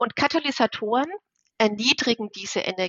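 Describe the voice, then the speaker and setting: A woman with an unremarkable speaking voice talks at a moderate pace, her fairly high pitch varying in an ordinary way. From Bavaria, Germany. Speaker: chemistry professor. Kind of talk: interview.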